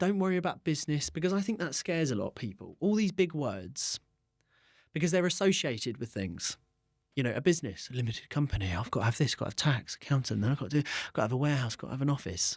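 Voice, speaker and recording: With an English accent, a man speaks very fast at a fairly high pitch, swinging very widely in pitch. The recording is very clean, with a silent background. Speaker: entrepreneur. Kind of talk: interview. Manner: loud; animated.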